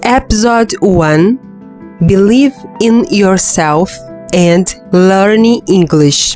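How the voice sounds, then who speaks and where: Over music in the background, a woman with a non-native accent speaks at a very slow pace with lively intonation. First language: non-native English speaker. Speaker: English learner podcaster. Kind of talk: motivational reading for English practice. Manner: slow, with repetitions.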